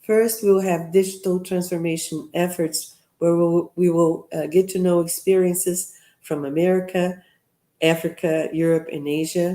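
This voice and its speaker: A woman speaks at a moderate pace with a Brazilian Portuguese accent, her pitch fairly low. Her tone is dark and mellow, her intonation monotone and flat. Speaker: professor and seminar host. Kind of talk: event welcome address. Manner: halting with fillers.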